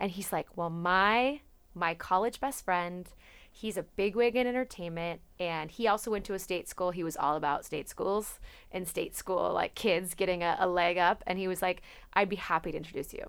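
In a very clean recording with a silent background, a woman talks at a moderate pace in a normal speaking voice with an American accent. Her pitch is medium and its variation is ordinary. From Napa, California. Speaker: podcast co-host. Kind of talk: casual chat.

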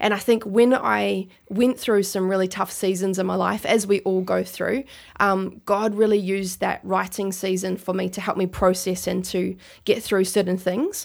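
A woman speaks at a medium pitch and moderate pace in a monotone, flat intonation on a very clean recording with a silent background. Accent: New Zealand. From New Zealand, Christchurch. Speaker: rap and spoken word artist. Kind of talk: interview.

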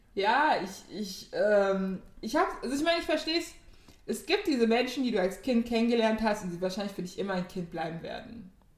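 A woman's fairly high voice moves through very wide pitch swings at a fairly quick pace. Room echo is audible. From Germany, Ghanaian community. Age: 20s. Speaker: podcast co-host. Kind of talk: casual chat.

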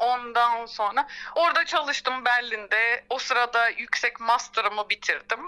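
A woman's high voice at a fairly slow pace, hardly any pauses, fairly even intonation and very even loudness, over noticeable background noise. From Turkey, Izmir. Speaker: orchestral violist. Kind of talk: interview.

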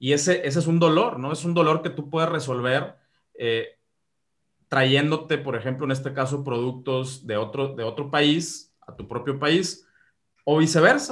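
Somewhat breathy and fairly high-pitched, a man with a Mexican accent speaks fairly slowly, showing ordinary pitch variation and big swings in loudness. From Mexico. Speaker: e-commerce expert. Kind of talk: interview. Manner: halting, many repetitions.

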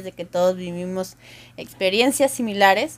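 A woman with an ordinary speaking voice at a moderate pace, with ordinary pitch variation. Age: 30s. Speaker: podcast co-host. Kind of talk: casual chat. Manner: laughs often.

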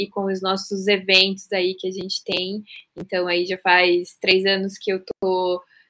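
A woman's medium-pitched voice, bright and sharp in tone, flat and monotone in intonation, at a fairly slow pace. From Curitiba, southern Brazil. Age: 30s. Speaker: leadership speaker and company founder. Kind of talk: interview.

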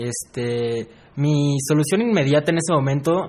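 With normal pitch movement, a man talks in a somewhat breathy, mid-range voice. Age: 20s. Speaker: university student. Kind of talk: casual interview.

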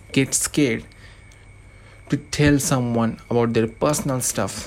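Speaking at a moderate pace with a non-native accent, a man leaves long, frequent pauses. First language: not English. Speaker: anonymous podcaster. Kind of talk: monologue podcast intro.

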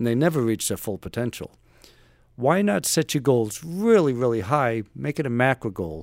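An ordinary speaking voice with an American accent and lively intonation. The recording is very clean, with a silent background. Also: man. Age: 60s. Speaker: retired navy special forces operator and author. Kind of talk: casual interview.

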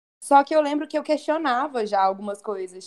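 A woman talks at a moderate pace in a high voice, her pitch swinging very widely. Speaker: journalist and tourism worker. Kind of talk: casual chat.

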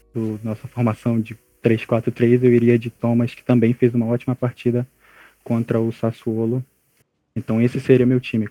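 With a dry, close sound and no echo, a man of medium pitch speaks in a dark, mellow tone at a moderate pace, his intonation monotone and flat while his loudness swings widely. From Brazil, Amapá (North). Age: young. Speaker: journalism student, women's football analyst. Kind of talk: casual podcast chat.

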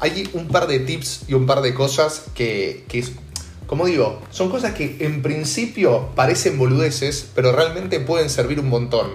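At a fairly slow pace, a fairly high-pitched man speaks with ordinary pitch variation, with audible room echo and noticeable background noise. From Argentina, Buenos Aires (Belgrano). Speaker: podcast host. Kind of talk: casual chat.

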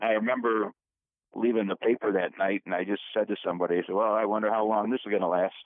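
A man with an American accent, very fast, fairly low-pitched and monotone, with flat intonation. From Rochester, New York. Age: 70s. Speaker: retired newspaper and radio journalist. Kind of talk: casual interview.

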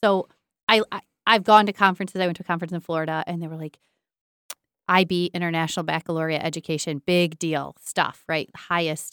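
A woman with an American accent talks very fast at a fairly low pitch with fairly even intonation. The sound is dry and close, with no echo. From northern Michigan. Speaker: school superintendent. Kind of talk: casual interview.

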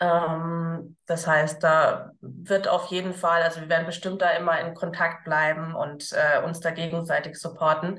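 A woman with a fairly low pitch speaks at a fairly slow pace with monotone, flat intonation. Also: hardly any pauses. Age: 30s. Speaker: entrepreneur, former teacher. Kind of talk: casual interview.

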